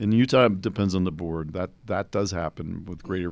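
In a very clean recording with a silent background, a man with an American accent speaks at a fairly quick pace, his very deep, low pitch carrying fairly even intonation. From New Jersey. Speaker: criminal defense attorney. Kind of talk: casual chat.

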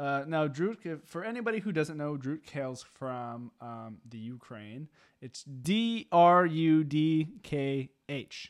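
A man speaks at a very slow pace in a fairly high pitch, with lively intonation. His loudness swings widely, and the background is quiet. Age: 20s. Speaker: metal podcast host and drummer. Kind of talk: casual chat.

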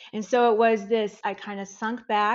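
A woman speaks with an American accent at a moderate pace. She has an unremarkable speaking voice with a fairly high pitch. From US Midwest. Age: 50s. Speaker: life reinvention coach. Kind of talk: interview.

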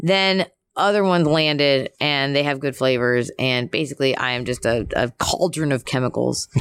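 A woman with an American accent speaks at a very deep, low pitch and ordinary pitch variation. The sound is dry and close, with no echo. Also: moderate pace. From US Northeast, Philadelphia. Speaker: professional wrestler. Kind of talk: casual chat. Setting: in a room at a wrestling show.

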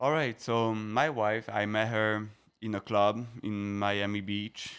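In a French accent, a man with a fairly low pitch speaks with fairly even intonation on a very clean recording with a silent background. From France (Paris, French Riviera). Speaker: guest on a podcast. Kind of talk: casual chat.

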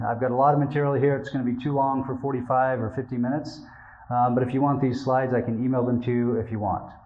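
With an American accent, a man talks very fast at a medium pitch in a monotone, flat delivery, and the room echo is audible. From Utah, US. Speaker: religion scholar and academic librarian. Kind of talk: lecture.

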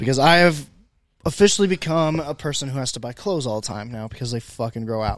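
A man with an American accent speaks at a very fast pace in a very clean recording with a silent background. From Indiana, US Midwest. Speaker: podcast host. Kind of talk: casual chat. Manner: loud.

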